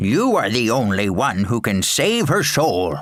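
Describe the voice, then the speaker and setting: Putting on a character voice, a man speaks fairly slowly at medium pitch with lively intonation. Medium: read story.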